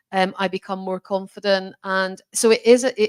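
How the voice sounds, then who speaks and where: A woman's monotone, flat delivery, dry and close with no echo, in a very clean recording with a silent background. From Scotland. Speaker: chief executive. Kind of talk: fireside chat interview.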